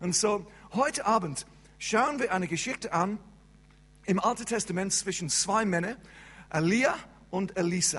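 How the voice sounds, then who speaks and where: A high-pitched man with an English accent, moderate pace, ordinary pitch variation and long, frequent pauses. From England. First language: English (speaking German). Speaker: pastor. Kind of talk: sermon. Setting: church service. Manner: halting.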